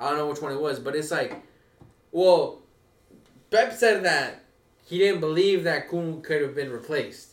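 A man's speech with ordinary pitch variation and long, frequent pauses, in audible room echo. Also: fairly high pitch for a man, moderate pace. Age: 20s. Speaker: podcast co-host. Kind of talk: casual chat.

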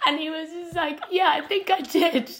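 A woman speaks at a moderate pace in an animated tone. Noticeable background noise runs behind her. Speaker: podcast co-host. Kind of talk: casual chat. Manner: giggly, animated.

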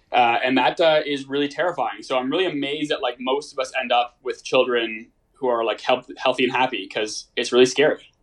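A man with an unremarkable speaking voice and a Canadian accent, fairly quick pace and fairly even intonation. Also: medium pitch for a man. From Toronto, Canada. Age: 20s. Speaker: medical student. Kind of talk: casual chat. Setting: remote call.

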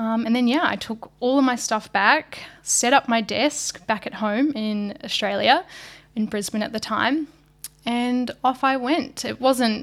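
Talking with a New Zealand accent, a woman keeps a fairly slow pace. Her voice sits fairly high, with fairly even intonation. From New Zealand, small country town. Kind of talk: casual chat.

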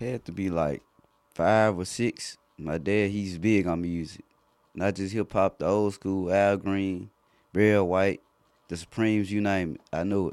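Speaking with a Memphis accent, a man with a fairly low pitch and fairly even intonation talks at a fairly slow pace in a very clean recording with a silent background. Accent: authentic South Memphis flow. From South Memphis, Tennessee. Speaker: rap artist. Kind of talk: casual interview. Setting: recording studio.

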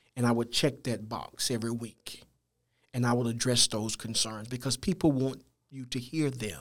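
A man with a Louisiana accent and fairly even intonation. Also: medium pitch for a man, moderate pace. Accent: Louisiana Southern US. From Louisiana (Natchitoches). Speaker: school administrator, pastor and author. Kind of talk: interview.

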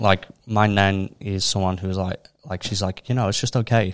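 The speaker uses fairly even intonation with a Liverpool accent, and the sound is dry and close with no echo. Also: man. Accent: Scouse (Liverpool). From Liverpool, England. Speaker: mental health initiative co-founder. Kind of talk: casual interview chat.

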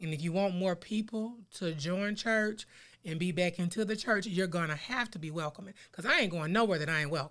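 A woman speaks at a medium pitch. Her pace is fairly quick, with ordinary pitch variation. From US South, West Memphis, Arkansas. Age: 40s. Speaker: podcast co-host, 911 dispatcher. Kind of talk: casual chat.

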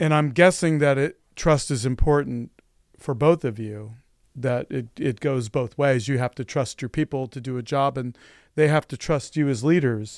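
On a very clean recording with a silent background and a dry, close sound with no echo, a man speaks at a moderate pace. He has a normal speaking voice, a fairly high pitch and ordinary pitch variation. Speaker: podcast co-host. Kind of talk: casual conversational interview.

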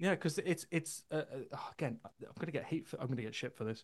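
A man speaks in a normal speaking voice, fairly high-pitched for a man, with ordinary pitch variation. The background is quiet. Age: 30s. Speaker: metal vocalist. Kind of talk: casual chat.

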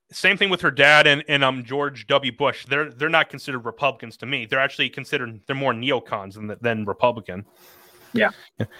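This man has an ordinary speaking voice at a medium pitch, talking at a fairly quick pace with ordinary pitch variation. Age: 20s. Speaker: podcast host. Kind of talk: casual chat.

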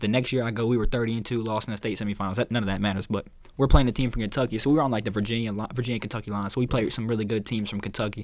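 A man speaks at a very fast pace. His pitch is medium and his intonation fairly even. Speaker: podcast host and college basketball player. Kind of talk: casual chat.

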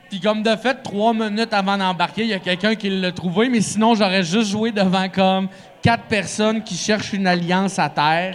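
Noticeable background noise sits behind a man with a high pitch. He talks at a moderate pace with fairly even intonation. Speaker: stand-up comedian. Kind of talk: casual chat. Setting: bar stage with live audience.

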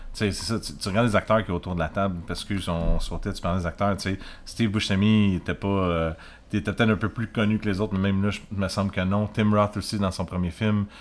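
Speaking fairly quickly with a Quebec accent, a man keeps his fairly low voice monotone and flat. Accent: Québécois French. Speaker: beer podcast host. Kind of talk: casual chat.

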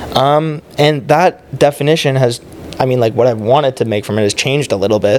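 Noticeable background noise sits under a man speaking at a fairly quick pace. His pitch is medium, with ordinary pitch variation. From Ontario, Canada (Oakville, near Toronto). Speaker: sports league founder. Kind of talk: casual chat.

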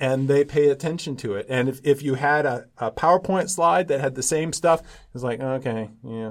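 A man talks in an ordinary speaking voice at a moderate pace. His pitch is fairly high. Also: ordinary pitch variation, very clean recording, silent background. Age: 60s. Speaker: professor. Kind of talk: interview.

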